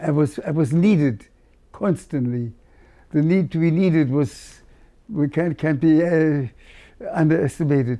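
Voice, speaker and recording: Against a quiet background, a man with a German accent and a dark, mellow tone speaks at a fairly slow pace. He leaves long, frequent pauses. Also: ordinary pitch variation. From Berlin, Germany. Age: 80s+. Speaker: cantor, Holocaust survivor. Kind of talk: interview answer. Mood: reflective, solemn memories. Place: home room. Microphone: lapel.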